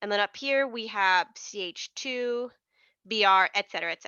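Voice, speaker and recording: This woman has a fairly high pitch. Her pitch variation is ordinary. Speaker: chemistry tutor. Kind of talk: exam review tutorial. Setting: livestream with chat. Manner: casual, many fillers and repeats.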